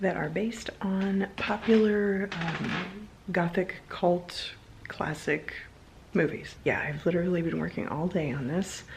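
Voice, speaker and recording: A woman speaks quietly at a fairly slow pace, her pitch medium with ordinary variation, over noticeable background noise. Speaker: vlogger and candle maker. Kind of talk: casual vlog chat. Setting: home at night.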